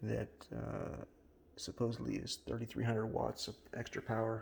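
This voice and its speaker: A man whispers at a fairly slow pace. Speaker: home brewer. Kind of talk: tutorial. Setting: home kitchen. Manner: whispering, low talking; halting, many fillers.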